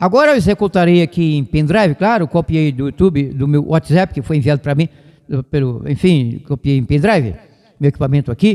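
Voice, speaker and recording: Ordinary pitch variation shapes a voice with a dark, mellow tone. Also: man, fairly high pitch for a man, fairly quick pace. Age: 70s. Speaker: radio evangelist. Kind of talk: radio sermon and talk. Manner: fast, sometimes stumbling over words.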